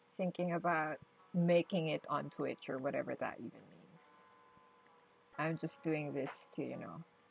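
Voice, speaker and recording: A woman at a very deep, low pitch and moderate pace, fairly even intonation, big swings in loudness, long, frequent pauses, and music in the background. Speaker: streamer and artist. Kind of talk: casual livestream chat while drawing.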